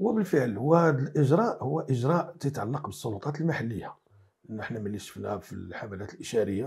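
Against a quiet background, a somewhat breathy man talks at a moderate pace with very wide pitch swings. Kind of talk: interview answer. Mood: critical, earnest. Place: studio. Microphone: lapel.

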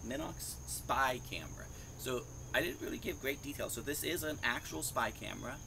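Background noise is noticeable here. A man delivers his words at a fairly quick pace. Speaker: hobbyist vlogger. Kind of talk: casual vlog chat. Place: garden. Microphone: lapel.

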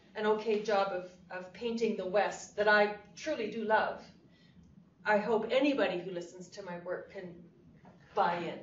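Noticeable background noise sits under a woman's medium-pitched voice. Her intonation stays fairly even while her loudness swings widely. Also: moderate pace. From Canada. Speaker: cowboy poet. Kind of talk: interview answer.

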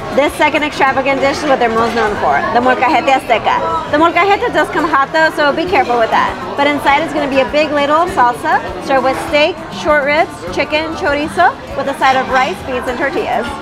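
Clear background music behind a woman's fairly quick speech. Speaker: food vlogger. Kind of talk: casual food review vlog. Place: bar.

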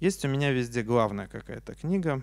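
A man is speaking. He goes at a moderate pace. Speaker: science journalist and author. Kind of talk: lecture. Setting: stage with audience. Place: stage. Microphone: handheld.

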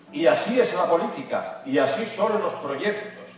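The pace is very slow, with lively intonation. Faint music plays in the background amid audible room echo. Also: man. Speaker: announcer delivering a rally speech. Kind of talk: epic motivational political speech. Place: hall.

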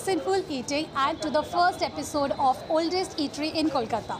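Clear music plays in the background as the speaker talks at a fairly quick pace with ordinary pitch variation. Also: woman. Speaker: food vlogger. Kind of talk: casual vlog chat. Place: shop. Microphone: phone near.

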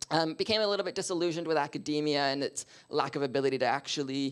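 The background is quiet as a man with a Canadian accent speaks at a very fast pace. His pitch is fairly high. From Canada. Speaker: diversity and inclusion consultant; speaker. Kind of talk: panel discussion. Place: meeting room.

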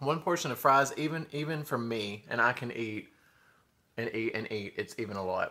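A man speaks with a Southern US accent. His tone is bright and sharp. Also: ordinary pitch variation, moderate pace. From US South. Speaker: food vlogger; mukbang vlogger. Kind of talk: mukbang eating show. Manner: animated. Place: home room. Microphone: phone near.

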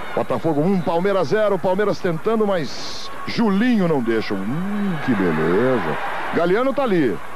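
Over noticeable background noise and audible room echo, a man with a high pitch and very wide pitch swings talks at a fairly slow pace with very even loudness. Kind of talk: live commentary.

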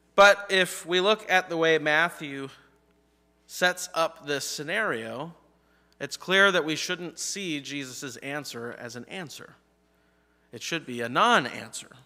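With a bright, sharp tone, a man speaks at a fairly slow pace, leaving long, frequent pauses. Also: big swings in loudness. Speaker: pastor. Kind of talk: sermon. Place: church.

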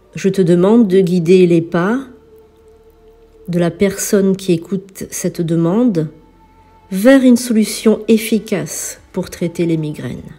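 A woman speaks very slowly in a gentle, calm tone, with long, frequent pauses. Her medium-pitched voice has ordinary pitch variation, with music in the background. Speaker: spiritual healer and priestess. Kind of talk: healing prayer.

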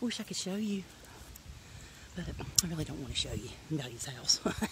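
A woman's pitch swings very widely as noticeable background noise carries on behind her. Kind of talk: casual vlog while walking. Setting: outdoors. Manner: breathing hard on a hill.

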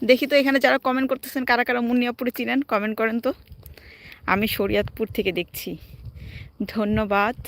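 In a very clean recording with a silent background and a dry, close sound with no echo, a woman speaks at a high pitch with fairly even intonation. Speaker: vlogger. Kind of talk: casual live stream chat. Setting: outdoors walking in a park.

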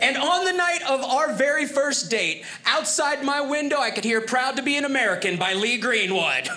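Raising and projecting his voice, a man speaks at an extremely high pitch and moderate pace with hardly any pauses. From Ohio. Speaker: comedian. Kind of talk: stand-up. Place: stage. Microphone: handheld.

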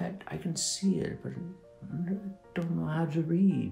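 A man puts on a character voice, fairly high in pitch with vocal fry and a dark, mellow tone, and ordinary pitch variation. He speaks slowly in a room with audible echo, with faint music in the background.

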